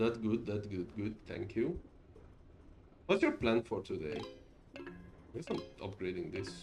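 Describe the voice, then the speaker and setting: Through noticeable background noise, a man with a fairly low pitch speaks at a fairly slow pace, leaving long, frequent pauses. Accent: Hungarian. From Hungary. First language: Hungarian. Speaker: streamer. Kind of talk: casual gameplay stream commentary. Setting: live stream. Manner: halting, frequent repetitions and fillers.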